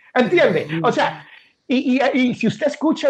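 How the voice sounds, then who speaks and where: Over a quiet background, a man speaks with a Puerto Rican accent. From Puerto Rico. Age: 50s. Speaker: podcaster and author. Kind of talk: interview.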